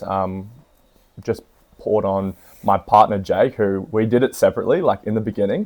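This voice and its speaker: A man with an Australian accent, fairly low pitch and a moderate pace. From Australia, Brisbane area. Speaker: entrepreneur. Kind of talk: casual chat.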